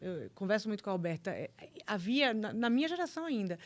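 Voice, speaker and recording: Someone speaks at a fairly quick pace with a Bahian accent. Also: woman. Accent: Bahian accent, kept. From Bahia, Brazil. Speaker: prosecutor. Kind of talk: casual interview chat.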